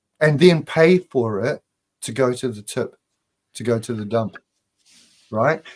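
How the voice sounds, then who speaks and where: He speaks at a moderate pace. This man's pitch is medium. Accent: New Zealand. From New Zealand. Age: 60s. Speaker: spiritual author. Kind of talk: casual chat.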